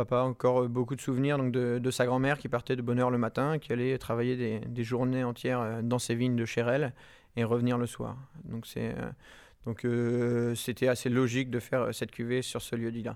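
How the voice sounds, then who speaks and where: Monotone, flat intonation marks this man's speech. He talks at a moderate pace and a medium pitch. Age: 20s. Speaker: winegrower. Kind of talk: interview. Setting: tasting cellar at the estate.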